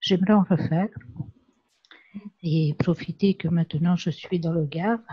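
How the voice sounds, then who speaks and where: Soft-spoken and somewhat breathy, a woman talks at a fairly slow pace with fairly low pitch and fairly even intonation. Her tone is dark and mellow, and the sound is dry and close with no echo. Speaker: pastel class participant. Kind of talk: casual chat.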